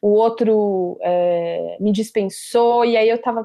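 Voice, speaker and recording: A woman's fairly high voice with a dark, mellow tone, over a quiet background. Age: 20s. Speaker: podcast producer. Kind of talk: interview conversation.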